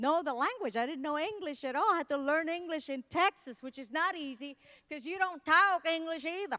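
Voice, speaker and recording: A woman's raised, projected voice in a Spanish accent, animated and bright, sharp in tone, at a moderate pace with ordinary pitch variation. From Puerto Rico. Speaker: motivational speaker and comedian. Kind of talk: keynote speech.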